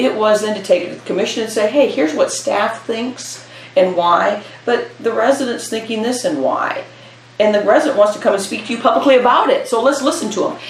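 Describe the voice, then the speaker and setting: The speaker has an American accent. Audible room echo and noticeable background noise accompany the voice. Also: woman, fairly high pitch for a woman, ordinary pitch variation, fairly quick pace. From US Midwest, Iowa. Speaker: retired parks and recreation director. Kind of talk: oral history interview.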